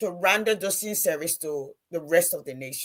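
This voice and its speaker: A woman's voice at a moderate pace. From Liberia. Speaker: panelist on national development discussion. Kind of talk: panel discussion. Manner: halting.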